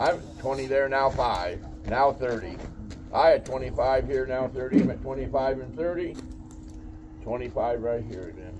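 At a very slow pace, a man talks with ordinary pitch variation and big swings in loudness over noticeable background noise. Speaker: storage auctioneer. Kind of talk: auction bid calling. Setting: live outdoor storage unit auction. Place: street. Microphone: camera far.

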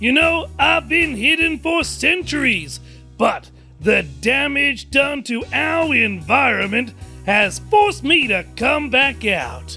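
Clear music plays in the background. Over it, a man does a cartoonish character voice at an extremely high pitch. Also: fairly slow pace. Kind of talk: children's puppet show. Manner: solemn, earnest.

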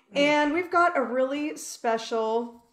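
A woman speaks at a high pitch. Audible room echo surrounds her over a quiet background. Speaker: ministry host. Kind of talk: devotional talk show hosting. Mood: warm, excited. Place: home room. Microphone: video call.

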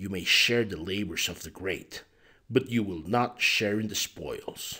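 A man growls in a put-on character voice, pitched fairly low and delivered at a fairly slow pace. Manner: grumbling, sulking.

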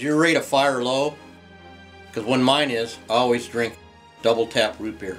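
Faint music plays in the background as a man speaks with long, frequent pauses. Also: ordinary pitch variation, moderate pace. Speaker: taxidermist. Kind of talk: TV commercial read. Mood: deadpan, earnest salesman. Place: shop.

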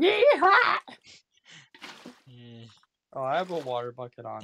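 Someone performs a put-on character voice at a moderate pace over light background noise. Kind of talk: casual gaming commentary. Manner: playful, exaggerated.

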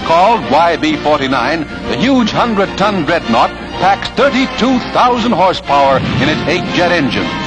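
The pace of speech is moderate. Behind it, clear music can be heard. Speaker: newsreel narrator. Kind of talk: newsreel narration. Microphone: old recording.

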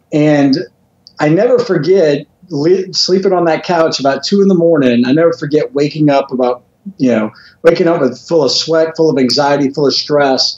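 A man with a fairly high pitch talks amid audible room echo. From Louisiana. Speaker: motivational speaker and author. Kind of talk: interview. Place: home room. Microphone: video call.

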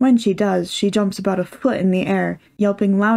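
The speaker reads in a natural voice, keeping the intonation fairly even.

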